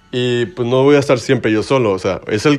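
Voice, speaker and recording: With music in the background, a man with a Mexican accent talks at a moderate pace with ordinary pitch variation. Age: 20s. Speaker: podcast host. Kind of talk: casual monologue. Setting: bedroom. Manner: informal slangy.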